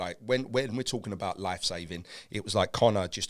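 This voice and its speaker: A man talks very fast in an animated tone with ordinary pitch variation. The recording is very clean with a silent background. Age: 40s. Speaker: motivational speaker. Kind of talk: interview.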